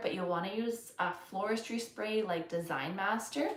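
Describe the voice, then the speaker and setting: A woman with a Canadian accent speaks at a moderate pace with lively intonation. Audible room echo and noticeable background noise accompany her. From Canada. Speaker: florist, flower arranging instructor. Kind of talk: live-stream tutorial. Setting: live stream. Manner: casual, filler-heavy.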